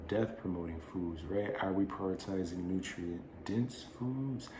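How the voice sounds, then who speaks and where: Amid noticeable background noise and audible room echo, a man with fairly low pitch and ordinary pitch variation talks at a fairly slow pace. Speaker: wellness channel host. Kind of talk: monologue to camera.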